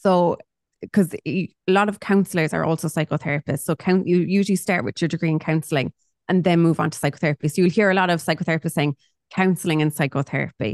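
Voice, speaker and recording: A woman with a Cork accent speaks very fast in a fairly low voice with ordinary pitch variation, the sound dry and close with no echo against a quiet background. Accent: Cork Irish. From Ireland, Cork. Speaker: psychotherapist and mindset coach. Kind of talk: casual chat.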